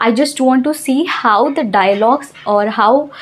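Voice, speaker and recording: Lively intonation marks this voice with a Telugu accent, set against noticeable background noise. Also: woman. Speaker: English teacher. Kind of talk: tutorial.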